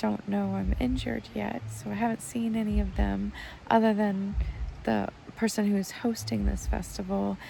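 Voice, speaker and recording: A woman mumbles quietly. She talks at a fairly slow pace. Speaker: healer and vlogger. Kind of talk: casual vlog monologue. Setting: outdoors in a tent at a festival campsite. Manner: quiet, mumbling.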